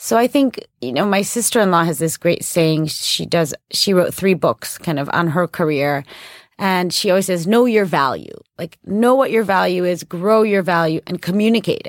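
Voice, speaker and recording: A woman speaks with a Chicago accent. The sound is dry and close, with no echo. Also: medium pitch for a woman, moderate pace. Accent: Chicago American. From Chicago, US. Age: 30s. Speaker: podcast host and ambassador's wife. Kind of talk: interview conversation. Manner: casual, filler-heavy.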